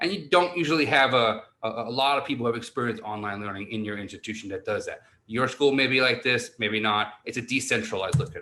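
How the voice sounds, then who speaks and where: The speech moves at a very fast pace with ordinary pitch variation. Its tone is bright and sharp. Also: man, medium pitch for a man. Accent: New York. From New York City. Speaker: university online learning director. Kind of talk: conference presentation. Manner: animated.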